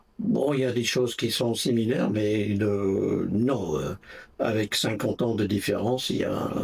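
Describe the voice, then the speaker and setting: A man speaks at a fairly slow pace, his voice somewhat breathy and fairly low in pitch. His loudness stays very even, with ordinary pitch variation. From England, Essex near London (Brentwood). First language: English (speaking French). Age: 80s+. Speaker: interviewee, retiree. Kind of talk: interview. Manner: hesitant, many fillers.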